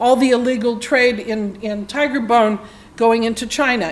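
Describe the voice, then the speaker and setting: A woman speaks with a high pitch. The room echo is audible and the background noise noticeable. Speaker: conservation policy expert. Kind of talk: lecture.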